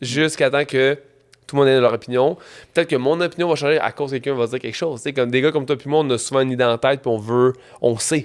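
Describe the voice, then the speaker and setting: A man with a Quebec accent talks at a very fast pace, keeping his intonation fairly even. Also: medium pitch for a man. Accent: Québécois French. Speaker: entrepreneur and trail runner. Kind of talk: casual interview.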